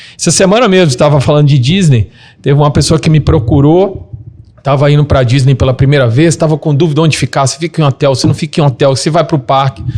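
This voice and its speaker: The somewhat breathy voice moves at a very fast pace, with very even loudness and ordinary pitch variation. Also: man, fairly high pitch for a man. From Minas Gerais, Brazil. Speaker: travel business owner. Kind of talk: casual interview chat.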